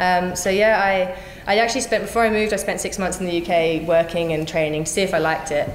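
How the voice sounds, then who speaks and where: Against light background noise and audible room echo, a woman speaks very fast with fairly even intonation. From Australia (Brisbane); Australia. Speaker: Olympic kayaker and calisthenics coach; new coach. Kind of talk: interview. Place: office.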